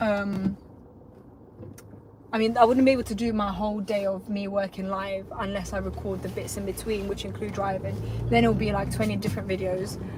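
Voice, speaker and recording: A woman's fairly quick speech carries audible room echo along with noticeable background noise. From North London (Tottenham), moved from Lithuania at nine. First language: Lithuanian. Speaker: self-employed electrician, vlogger. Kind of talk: casual live vlog. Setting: in a car, driving.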